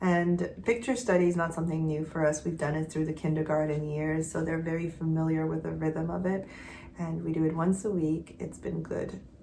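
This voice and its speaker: A woman with a very deep, low pitch speaks at a fairly quick pace with fairly even intonation, and the room echoes audibly. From Quebec. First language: not English; English is her third language. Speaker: homeschooling mother. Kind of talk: casual vlog update. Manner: conversational with frequent fillers and restarts.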